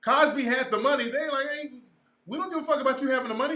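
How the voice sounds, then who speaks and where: In a raised, projected voice, a man sounds animated, his tone bright and sharp and his pitch extremely high. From California. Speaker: livestream host and social commentator. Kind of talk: casual livestream commentary. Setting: livestream with chat room.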